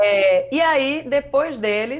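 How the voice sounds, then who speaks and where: Her voice is high, with lively intonation, as a woman speaks in a northeastern Brazilian accent. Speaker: journalist and communication researcher. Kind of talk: podcast interview. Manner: animated.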